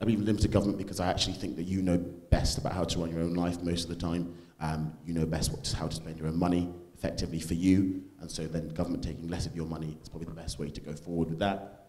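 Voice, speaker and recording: A man's very deep, low voice, very fast and monotone, with flat intonation and audible room echo. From English Midlands, Stoke-on-Trent. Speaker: conservative student activist. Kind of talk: panel talk.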